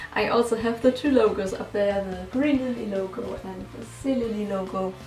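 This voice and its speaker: Over music in the background and with audible room echo, a woman with a German accent talks at a medium pitch and a moderate pace. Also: ordinary pitch variation. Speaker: musician and YouTuber. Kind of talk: casual chat.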